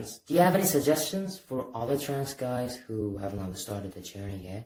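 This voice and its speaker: A man's medium-pitched voice with very wide pitch swings and big shifts in loudness, at a moderate pace. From Iran. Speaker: interviewer. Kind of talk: interview questions.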